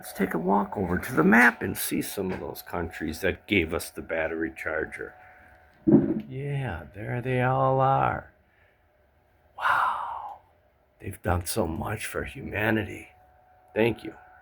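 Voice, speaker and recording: In a bright, sharp tone, a man speaks at a fairly slow pace with a fairly low pitch, very wide pitch swings, big swings in loudness, and long, frequent pauses. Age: 60s. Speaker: DIY vlogger. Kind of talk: casual vlog. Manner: casual, halting.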